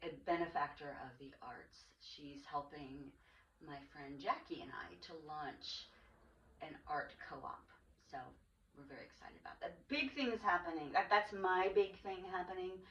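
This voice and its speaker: Using a plain, everyday voice, a woman speaks at a medium pitch and a fairly slow pace, with lively intonation and big swings in loudness. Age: 60s. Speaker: podcast host. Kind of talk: casual chat.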